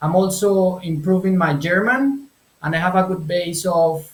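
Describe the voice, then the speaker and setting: This man talks in a high voice with a Spanish accent and ordinary pitch variation. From Colombia. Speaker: translator and language business owner. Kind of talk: interview. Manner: halting, with repetitions.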